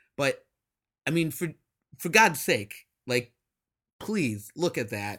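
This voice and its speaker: Here a man speaks at a fairly slow pace in a medium pitch. His tone is bright and sharp, on a very clean recording with a silent background. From US Midwest. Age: 30s. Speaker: podcast host. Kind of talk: solo monologue podcast. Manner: animated.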